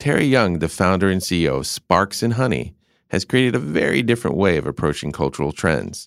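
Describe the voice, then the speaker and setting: Using vocal fry and a very deep, low pitch, a man with an American accent speaks at a fairly quick pace with very wide pitch swings. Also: very clean recording, silent background. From North Carolina, US South. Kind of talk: scripted intro narration; interview conversation. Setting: guest's office.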